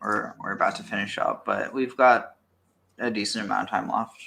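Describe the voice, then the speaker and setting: A raspy, put-on character voice at a fairly quick pace. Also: man. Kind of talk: casual, conversational.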